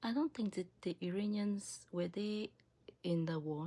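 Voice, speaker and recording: A woman's dark, mellow voice with lively intonation and an African accent. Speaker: political commentary video creator. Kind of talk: opinion monologue. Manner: animated.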